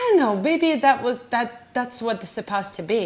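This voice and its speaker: A woman with a Georgian accent and ordinary pitch variation, over noticeable background noise. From Georgia (country), Tbilisi. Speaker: immigrant interviewee. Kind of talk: personal testimony. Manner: halting, many fillers.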